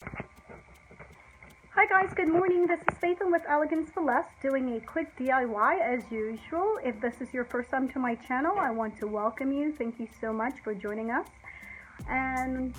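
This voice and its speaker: Noticeable background noise sits behind a woman with a high pitch. She speaks at a fairly slow pace. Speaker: DIY home decor YouTuber. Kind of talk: tutorial. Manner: warm, conversational.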